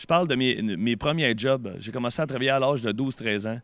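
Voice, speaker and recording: A man with a Quebec accent and ordinary pitch variation. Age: 30s. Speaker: comedian. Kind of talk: interview.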